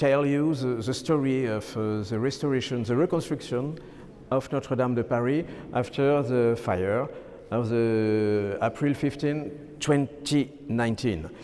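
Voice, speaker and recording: A man with a French accent, medium-pitched, at a fairly slow pace. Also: ordinary pitch variation. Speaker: architect. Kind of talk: lecture. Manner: halting.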